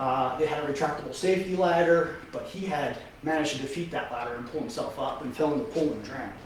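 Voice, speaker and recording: Speaking at a very fast pace with hardly any pauses, a man with an American accent has a fairly high pitch and ordinary pitch variation, with noticeable background noise and audible room echo. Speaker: paramedic. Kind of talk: testimony.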